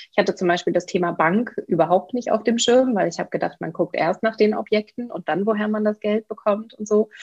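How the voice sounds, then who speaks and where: Somewhat breathy speech runs at a fairly quick pace with hardly any pauses and ordinary pitch variation. The sound is dry and close with no echo, against a quiet background. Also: woman, fairly high pitch for a woman. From Germany, Bielefeld (East Westphalia). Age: 30s. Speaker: real estate investor and coach. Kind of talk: interview.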